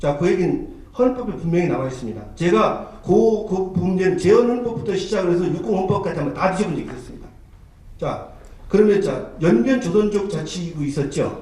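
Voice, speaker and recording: A man with a high pitch speaks at a fairly quick pace. Audible room echo and noticeable background noise surround him. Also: lively intonation. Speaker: history researcher, debate panelist. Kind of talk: heated debate. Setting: conference hall panel. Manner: fast.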